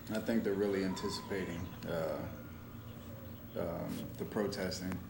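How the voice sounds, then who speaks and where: With noticeable background noise and audible room echo, a man with a fairly low pitch speaks at a fairly slow pace with lively intonation. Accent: American. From Tampa, Florida. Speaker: public-access TV co-host, activist. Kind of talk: casual panel discussion. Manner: talking loud. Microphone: bad mic, hard to hear.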